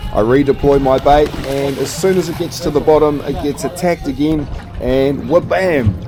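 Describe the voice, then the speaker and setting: A man's fairly high voice in a New Zealand accent, moderate in pace, with ordinary pitch variation and music in the background. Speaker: fishing vlogger. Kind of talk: voiceover narration.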